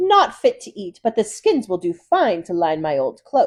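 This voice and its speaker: A woman performs a put-on character voice at a medium pitch. She keeps a moderate pace, with big swings in loudness. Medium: read story. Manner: scolding, sharp.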